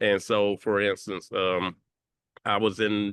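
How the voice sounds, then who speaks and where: With a strong Southern US accent, a man speaks at a fairly slow pace. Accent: deep Southern drawl. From Mississippi, US South. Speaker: tech nonprofit founding leader. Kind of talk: panel discussion.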